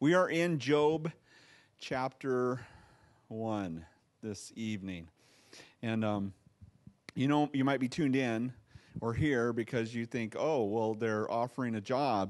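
Over a quiet background, a man speaks at a fairly slow pace with ordinary pitch variation and long, frequent pauses. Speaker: pastor. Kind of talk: sermon. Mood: light, joking. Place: church. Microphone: handheld.

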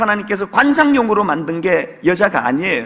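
A man's fairly quick delivery with very wide pitch swings. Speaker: pastor. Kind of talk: sermon. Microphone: podium.

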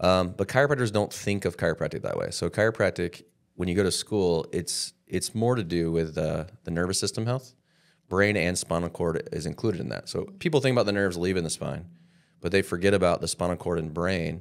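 A man's very deep, low voice at a fairly quick pace, with ordinary pitch variation and a quiet background. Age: 40s. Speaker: chiropractor. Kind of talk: interview. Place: studio. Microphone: studio mic.

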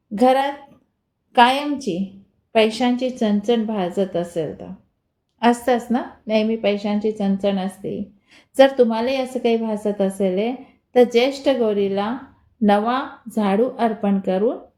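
Recorded very cleanly with a silent background, a woman with a non-native accent speaks at a fairly high pitch in a dark, mellow tone, her loudness swinging widely. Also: ordinary pitch variation. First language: not Marathi (speaking Marathi). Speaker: devotional YouTuber. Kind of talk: spiritual remedies tutorial.

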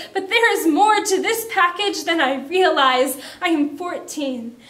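A woman talks at a fairly slow pace in a dramatic tone. Her pitch varies in an ordinary way. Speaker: spoken word poet. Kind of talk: spoken word poem, performed reading of a personal poem about makeup and self-image. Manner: measured, expressive poetic delivery with dramatic pauses, building emotion; reflective, earnest, confessional. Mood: emotional, intense, dramatic. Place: studio.

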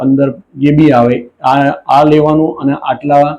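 This man's voice has a dark, mellow tone. His pitch sits fairly high. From Gujarat, Mahisagar district (Lunawada). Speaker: alleged fraud victim. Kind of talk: testimony. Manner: halting.

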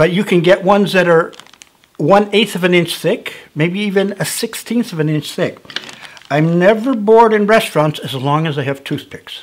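Speaking at a moderate pace, a man has a high pitch. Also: ordinary pitch variation. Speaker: whittling instructor. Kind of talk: tutorial. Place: studio.

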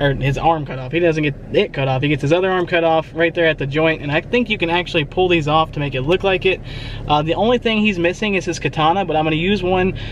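A high-pitched man talking at a very fast pace, dry sound with no echo and light background noise. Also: ordinary pitch variation. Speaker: toy collector vlogger. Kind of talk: casual vlog chat. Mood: excited, enthusiastic. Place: car. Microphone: phone near.

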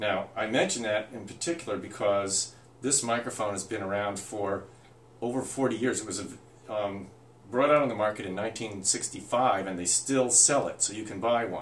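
A fairly low-pitched man at a moderate pace with ordinary pitch variation, amid audible room echo. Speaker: presenter. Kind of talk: tutorial. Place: home room.

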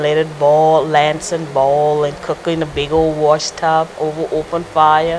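A woman with a South Carolina Lowcountry accent speaks in a very deep, low pitch and a monotone, flat intonation over light background noise. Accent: Gullah, Lowcountry South Carolina. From Georgetown County, South Carolina. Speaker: Gullah artist. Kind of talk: interview answer. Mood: warm, smiling reminiscence. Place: home room. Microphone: lapel.

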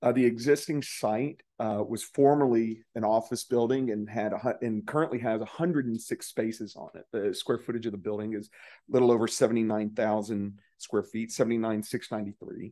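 A plain, everyday voice with fairly even intonation and a moderate pace over a quiet background. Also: man. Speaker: civil engineer representing a property owner. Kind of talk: public hearing presentation. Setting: city council chamber at a podium. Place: hall. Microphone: podium.

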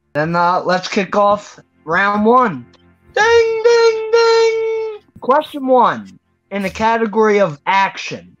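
Over faint music in the background, a woman speaks at a very slow pace. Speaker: trivia show host. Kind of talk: game show hosting. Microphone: video call.

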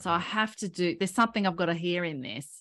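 A woman with an Australian accent speaks in a fairly low voice with a bright, sharp tone. Her pitch varies in an ordinary way, and the background is quiet. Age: 40s. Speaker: health coach and personal trainer; health coach, personal trainer. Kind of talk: interview. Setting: video call. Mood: warm, enthusiastic. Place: home room. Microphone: studio mic.

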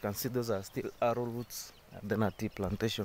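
At a fairly slow pace, a man speaks over light background noise in a dry sound with no echo. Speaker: builder vlogger. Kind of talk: casual vlog chat. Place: open country. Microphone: phone near.

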